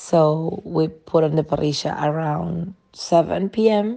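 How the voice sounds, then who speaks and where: A dark, mellow tone comes through with a Spanish accent. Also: woman. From Uruguay, near Montevideo. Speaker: sommelier, wine bar owner. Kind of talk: prepared monologue.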